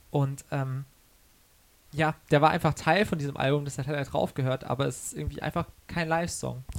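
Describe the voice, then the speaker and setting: This man talks at a moderate pace with a fairly high pitch. His intonation stays fairly even, and he takes long, frequent pauses. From Karlsruhe, Baden, southwest Germany. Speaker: singer-songwriter. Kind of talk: interview. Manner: hesitant with many fillers.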